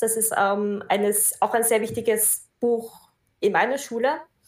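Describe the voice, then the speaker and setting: A woman speaks fairly slowly with a fairly high pitch and fairly even intonation, in an unremarkable speaking voice. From Austria. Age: 20s. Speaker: Buddhist practitioner and teacher. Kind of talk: casual interview.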